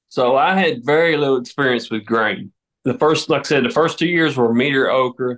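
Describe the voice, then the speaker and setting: In a Southern US accent, a man talks at a moderate pace with ordinary pitch variation. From US South, southern Tennessee. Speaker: farmer. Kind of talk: interview. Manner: casual, hesitant fillers.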